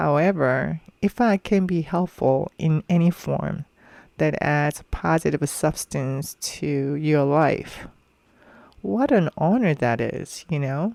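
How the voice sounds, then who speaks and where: Speech comes at a very slow pace in a non-native accent. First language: not English. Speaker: podcast host. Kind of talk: personal reflective monologue. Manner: hesitant, with filler ums.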